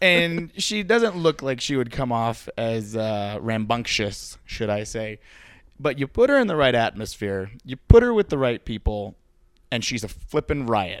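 A man uses an ordinary speaking voice at a medium pitch and a fairly slow pace, with lively intonation. The recording is very clean with a silent background. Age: 30s. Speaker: podcast host. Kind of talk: casual chat.

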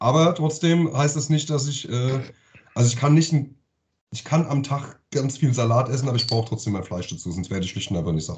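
Somewhat breathy, a man speaks at a fairly quick pace and medium pitch with lively intonation. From Offenbach, Hesse, Germany. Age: 40s. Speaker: podcast co-host. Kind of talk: casual chat.

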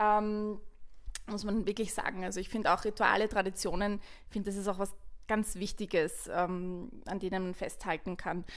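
The recording is very clean with a silent background. A woman speaks at a medium pitch and moderate pace in a monotone, flat intonation. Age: 30s. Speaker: podcast host. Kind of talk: casual chat.

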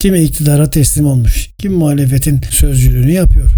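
A man speaks with a plain, everyday voice. His pace is moderate and his pitch variation ordinary. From Turkey, İzmir. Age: 60s. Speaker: podcast host, journalist and communication expert. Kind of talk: solo podcast talk, scripted monologue. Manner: formal.

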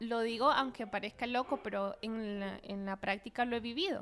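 Speaking at a moderate pace, a woman with a plain, everyday voice and fairly high pitch shows ordinary pitch variation. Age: 30s. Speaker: physician. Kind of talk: casual chat.

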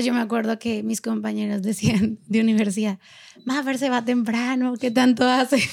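This woman has a fairly high pitch and talks at a moderate pace with fairly even intonation. The recording is very clean, with a silent background. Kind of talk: casual interview chat.

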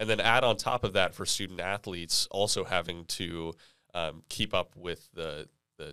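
Recorded very cleanly against a silent background, a man talks at a moderate pace in a very deep, low pitch with a bright, sharp tone and fairly even intonation. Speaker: student government officer. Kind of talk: panel discussion.

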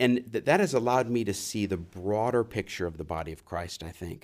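On a very clean recording with a silent background, a man with an American accent speaks in an unremarkable speaking voice at a moderate pace, medium in pitch and lively in intonation. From US South, New Orleans. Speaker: seminary professor. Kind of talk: interview.

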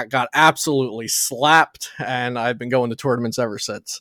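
With an American accent and a normal speaking voice, a man talks at a fairly quick pace in a medium pitch with fairly even intonation, recorded very cleanly against a silent background with a dry, close sound and no echo. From New Jersey. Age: 20s. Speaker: trading card game content creator. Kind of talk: casual interview.

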